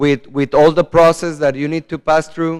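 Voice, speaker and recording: This is a man speaking. He has a Spanish accent. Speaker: politician. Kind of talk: conference presentation. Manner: halting, many fillers and repetitions.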